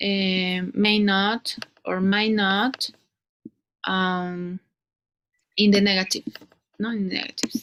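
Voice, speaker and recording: In a Spanish accent, a woman talks with a dry, close sound and no echo. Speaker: English teacher. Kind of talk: one-on-one English lesson. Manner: halting, many fillers.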